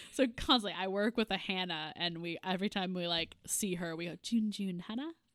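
This woman has a normal speaking voice at a medium pitch, with ordinary pitch variation. Her pace is moderate. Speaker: podcast host. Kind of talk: casual chat.

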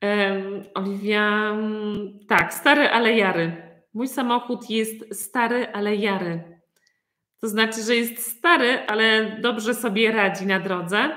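A woman speaks at a very slow pace with a fairly high pitch. Her tone is bright and sharp, with ordinary pitch variation. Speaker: Polish language teacher. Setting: video call.

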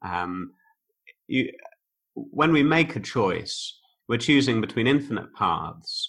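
The pace is fairly slow as a man talks in a bright, sharp tone. His pitch varies in an ordinary way. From Oxfordshire, England. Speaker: online course creator, former philosophy teacher. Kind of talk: casual interview conversation. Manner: articulate, reflective.

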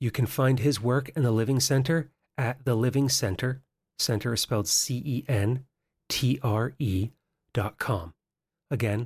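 Speaking at a fairly slow pace, a man with a medium pitch and ordinary pitch variation sounds somewhat breathy, his loudness very even, in a dry, close sound with no echo on a very clean recording with a silent background. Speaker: podcast host. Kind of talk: interview.

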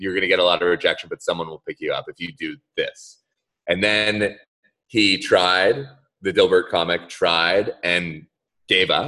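The man keeps a moderate pace. His volume rises and falls sharply. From Central Florida (Orlando). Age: 30s. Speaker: entrepreneur. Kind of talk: casual chat. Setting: video call. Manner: animated.

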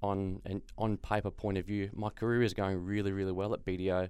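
At a moderate pace, a man with an Australian accent speaks at a fairly low pitch. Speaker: sports journalist and accountant. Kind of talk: interview.

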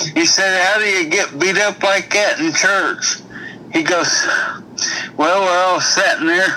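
Noticeable noise sits under a raised, projected voice. The pace is fairly slow. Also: man. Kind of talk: telling a joke.

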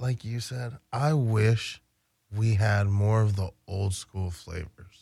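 In an American accent, a man talks at a very slow pace with a fairly low pitch and ordinary pitch variation. His tone is dark and mellow, and somewhat breathy. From Baltimore, Maryland (US East Coast). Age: 30s. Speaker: cannabis delivery business founder. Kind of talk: casual chat.

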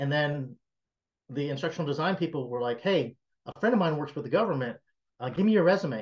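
Here a man talks at a fairly quick pace, his fairly high voice showing ordinary pitch variation. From US South, South Carolina. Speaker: tech entrepreneur. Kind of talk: interview.

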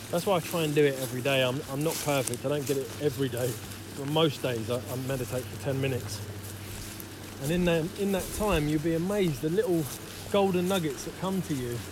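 Noticeable background noise and audible room echo fill the recording. A man with a fairly high pitch talks at a very fast pace. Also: lively intonation. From West London (Isleworth). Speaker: men's retreat leader. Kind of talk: interview. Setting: outdoors, walking through fields.

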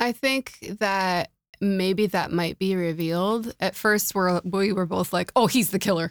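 On a very clean recording with a silent background and dry, close sound with no echo, a woman with an unremarkable speaking voice talks at a medium pitch and a fairly slow pace. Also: fairly even intonation, very even loudness. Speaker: podcast host. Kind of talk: casual chat about TV shows.

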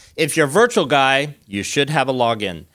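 In a very clean recording with a silent background, a man talks at a fairly quick pace with ordinary pitch variation in a plain, everyday voice. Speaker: IT team member giving announcements. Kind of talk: live announcements to an audience. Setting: live event with audience.

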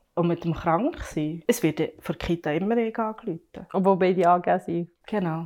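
A woman with an unremarkable speaking voice talks at a moderate pace, at medium pitch and with ordinary pitch variation. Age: 30s. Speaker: working mother. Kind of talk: casual discussion.

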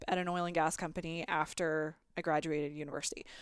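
An animated tone at a moderate pace, in a dry, close sound with no echo and a very clean recording with a silent background. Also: woman. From Canada. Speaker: podcast host. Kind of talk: casual chat.

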